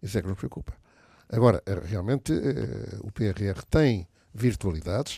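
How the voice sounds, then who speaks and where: In a very clean recording with a silent background and a dry, close sound with no echo, a man speaks at a moderate pace and fairly low pitch. His tone is dark, mellow and somewhat breathy, with lively intonation, big swings in loudness and long, frequent pauses. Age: 70s. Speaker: business association leader. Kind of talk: radio panel discussion.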